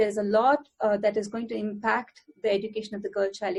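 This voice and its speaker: A woman talks at a very fast pace. Her voice is somewhat breathy and fairly high in pitch. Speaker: academic researcher on gender equality. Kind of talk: panel talk. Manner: hesitant with many fillers.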